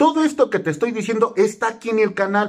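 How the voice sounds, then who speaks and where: A man speaks in an animated tone with very wide pitch swings against a quiet background. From Mexico. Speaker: YouTuber explaining government benefits. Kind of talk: informational vlog; casual informative vlog talk. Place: home room. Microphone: phone near.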